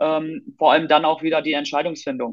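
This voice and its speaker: A man with a plain, everyday voice talks at a fairly quick pace, his pitch fairly high. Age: 20s. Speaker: youth football coach. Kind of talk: casual interview.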